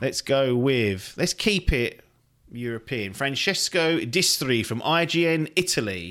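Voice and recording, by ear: A man's medium-pitched, fairly bright voice at a fairly slow pace, with big pitch swings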